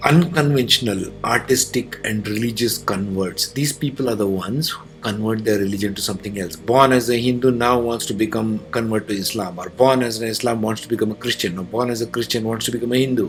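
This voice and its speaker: Noticeable background noise sits behind a man speaking at a medium pitch with ordinary pitch variation. He talks at a fairly quick pace with hardly any pauses. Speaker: astrologer. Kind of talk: lecture. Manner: fast.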